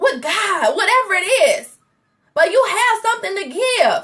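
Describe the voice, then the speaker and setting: A woman raises and projects her voice with a bright, sharp, animated tone. Her intonation is lively and her pace fairly slow. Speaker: faith coach. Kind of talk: motivational livestream talk. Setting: Facebook live stream. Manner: loud.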